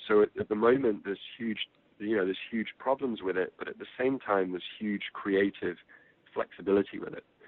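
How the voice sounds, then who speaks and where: Talking at a fairly quick pace with an English accent, the man's voice shows big swings in loudness. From England. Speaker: film producer. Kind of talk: interview.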